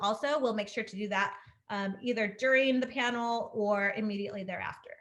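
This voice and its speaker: A woman speaks at a fairly quick pace. Her intonation stays fairly even. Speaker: webinar facilitator. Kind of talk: webinar presentation. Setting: video call. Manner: fast.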